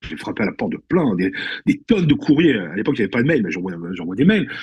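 Fairly high in pitch, a man talks at a fairly quick pace with vocal fry. His pitch swings very widely. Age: 50s. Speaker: actor. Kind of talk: casual chat. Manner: animated.

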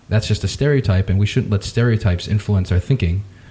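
The voice is somewhat breathy, with a dark, mellow tone. Its pitch varies in an ordinary way. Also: man. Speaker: podcast host. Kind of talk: interview conversation.

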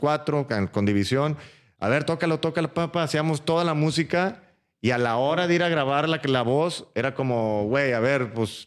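Moderately paced speech from a man, with ordinary pitch variation. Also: very even loudness, very clean recording, silent background. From Mexico, Matamoros (Tamaulipas). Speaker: musician. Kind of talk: casual chat. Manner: halting.

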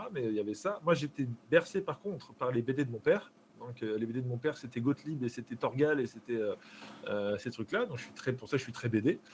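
This man has an ordinary speaking voice at a medium pitch, with ordinary pitch variation. His loudness swings widely, and his pace is fairly quick. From France, Charente-Maritime. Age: 30s. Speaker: streamer. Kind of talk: casual chat. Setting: live stream.

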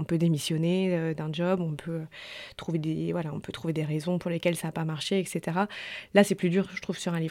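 A woman with a plain, everyday voice and a fairly low pitch speaks at a fairly quick pace with big swings in loudness. The recording is very clean, with a silent background. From French Alps. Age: 30s. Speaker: journalist and author. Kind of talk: interview.

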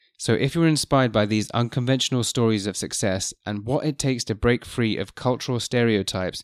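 A man speaks fairly quickly at medium pitch with fairly even intonation, in an unremarkable speaking voice. The sound is dry and close with no echo. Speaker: podcast host. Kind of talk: interview. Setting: studio, face to face.

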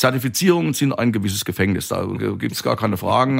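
This man talks at a very fast pace. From Palatinate, Germany. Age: 50s. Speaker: winemaker. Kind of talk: interview. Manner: talkative, expansive.

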